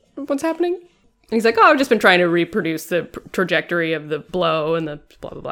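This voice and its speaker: Over music in the background, a woman speaks very fast, her loudness swinging widely. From Britain. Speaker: podcast host. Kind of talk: casual chat.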